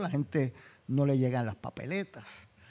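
A man's fairly high voice with a dark, mellow tone, lively intonation and a moderate pace. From Puerto Rico. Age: 70s. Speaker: law and politics professor, former mayor. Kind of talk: panel talk.

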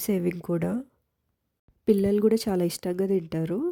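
Speaking in a dark, mellow tone, a woman keeps a medium pitch with monotone, flat intonation. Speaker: cooking vlogger. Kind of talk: cooking tutorial.

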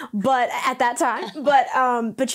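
This woman has a high-pitched voice. The background is quiet. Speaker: vocal coach. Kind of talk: interview answer. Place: studio. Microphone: lapel.

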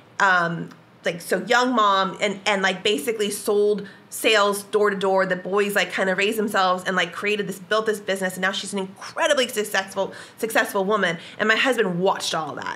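A woman with an American accent talks at a fairly quick pace. Background noise is noticeable. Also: medium pitch for a woman, fairly even intonation. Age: 40s. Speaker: business executive. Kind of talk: casual chat.

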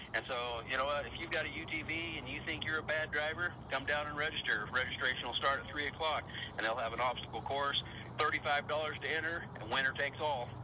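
A man talks very fast at a fairly high pitch. There is noticeable background noise. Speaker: monster truck driver and team owner. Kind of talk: radio interview answer. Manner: enthusiastic, conversational.

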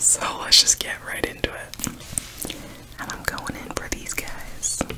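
A woman speaks in a whisper. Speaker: food video creator. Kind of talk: casual vlog chat. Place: home room.

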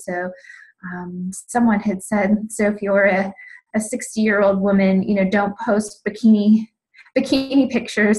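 The woman's voice is somewhat breathy. She keeps her intonation fairly even. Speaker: fitness business coach, team member. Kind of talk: casual sharing on a team call. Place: home room. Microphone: video call.

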